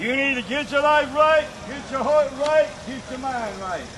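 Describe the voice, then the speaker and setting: A man speaks at an extremely high pitch. Background noise is noticeable. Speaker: open-air preacher. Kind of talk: open-air campus sermon. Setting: outdoors.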